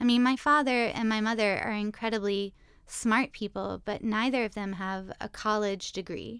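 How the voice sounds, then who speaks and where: A normal speaking voice from a woman, medium in pitch, at a moderate pace, in a very clean recording with a silent background. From US South, Richmond, Virginia. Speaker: classics professor. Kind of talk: interview conversation.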